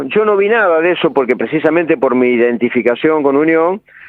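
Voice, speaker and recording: This man's pitch swings very widely. He speaks with a Rioplatense accent. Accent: Argentine Spanish (rioplatense). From Argentina, Santa Fe province (El Trébol). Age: 60s. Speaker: football coach. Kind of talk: radio interview. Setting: phone call.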